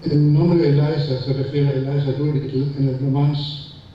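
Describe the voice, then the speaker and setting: A man speaks at a medium pitch in a flat monotone. The room echoes audibly and background noise is noticeable. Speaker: philosophy professor. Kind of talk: conference talk reading prepared text. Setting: conference hall with audience. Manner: fast; halting, repeats words.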